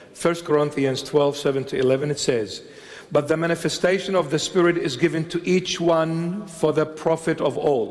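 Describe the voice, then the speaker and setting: The speech has fairly even intonation over noticeable background noise. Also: man, fairly high pitch for a man, moderate pace. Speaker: bishop, preacher. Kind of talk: sermon delivered to a congregation.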